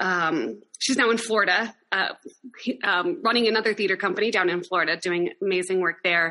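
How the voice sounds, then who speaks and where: Speaking at a moderate pace with very even loudness, a woman with an American accent has a medium pitch, ordinary pitch variation and a bright, sharp tone. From Wyoming, US (Laramie). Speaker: theater company founder and artistic director. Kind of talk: interview.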